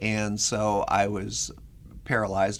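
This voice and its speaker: Audible room echo carries a man's fairly low voice. He speaks with an American accent. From Minnesota. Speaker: research professor with spinal cord injury. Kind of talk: interview.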